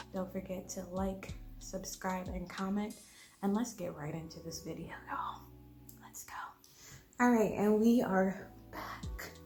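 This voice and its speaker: A woman's medium-pitched voice at a fairly slow pace, fairly even in intonation, broken by long, frequent pauses, with big swings in loudness, noticeable background noise and audible room echo. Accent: American. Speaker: home cooking YouTuber. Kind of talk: cooking tutorial. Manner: casual with many ums.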